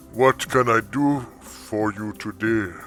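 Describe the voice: Putting on a booming character voice with medium pitch, a man speaks at a fairly slow pace while clear music plays in the background.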